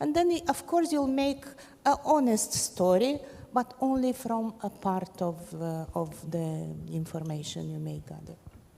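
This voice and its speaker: A woman speaks fairly slowly, her loudness swinging widely. Background noise is noticeable. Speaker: journalist. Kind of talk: panel discussion.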